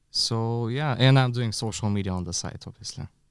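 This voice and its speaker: Speech in a Bulgarian accent moves at a fairly quick pace with fairly even intonation. The recording is very clean, with a silent background. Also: man. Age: 30s. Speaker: bar consultant and podcast co-host. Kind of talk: casual podcast chat.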